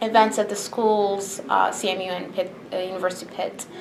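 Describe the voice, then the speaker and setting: Noticeable background noise and audible room echo surround a woman talking at a fairly quick pace with fairly even intonation. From Bahrain. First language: Arabic. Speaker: interviewee, immigrant. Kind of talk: interview answers.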